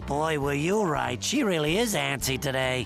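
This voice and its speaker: The speaker uses a cartoonish character voice. Clear background noise runs underneath. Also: man, fairly high pitch for a man, moderate pace. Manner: chummy, casual.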